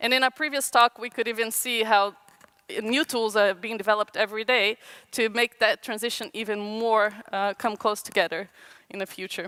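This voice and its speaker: A woman's fairly high voice, bright and sharp in tone, at a moderate pace with fairly even intonation. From Brazil. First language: Portuguese. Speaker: designer. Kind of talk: conference talk. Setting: stage with audience. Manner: halting.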